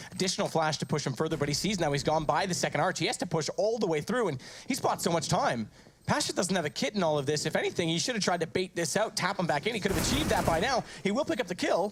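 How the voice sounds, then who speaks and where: With music in the background, a man talks very fast in a high pitch, his intonation lively and his loudness very even. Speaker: esports commentator. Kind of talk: live commentary. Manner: animated.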